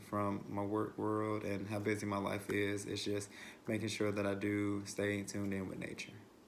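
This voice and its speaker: In a room with audible echo, a man with a fairly low pitch speaks at a moderate pace. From western North Carolina, Asheville. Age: 20s. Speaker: childcare director. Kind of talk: self-introduction video. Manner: hesitant, many fillers and repetitions.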